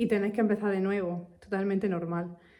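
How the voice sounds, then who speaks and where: A woman speaks with a Castilian accent. Her pace is fairly quick. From Spain. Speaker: English teacher. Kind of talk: casual talk to camera. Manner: animated.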